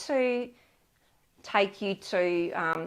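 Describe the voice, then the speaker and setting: A woman with an Australian accent talks over a quiet background. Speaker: paint colour specialist; colour consultant host. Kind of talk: live online product advice session. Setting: live stream on camera. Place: studio. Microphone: lapel.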